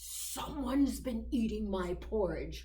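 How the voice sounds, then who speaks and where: A gruff, growling put-on character voice at a fairly slow pace, with audible echo. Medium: read story.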